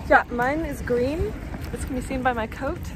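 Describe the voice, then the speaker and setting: A woman keeps a moderate pace, with audible room echo and noticeable background noise in the recording. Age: 20s. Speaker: biomedical science graduate, vlogger. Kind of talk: casual chat. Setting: outdoors, walking.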